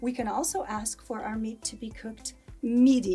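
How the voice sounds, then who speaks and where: A woman's voice sits fairly high in pitch. Behind her, music is playing. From United States. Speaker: English teacher. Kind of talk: English lesson to camera.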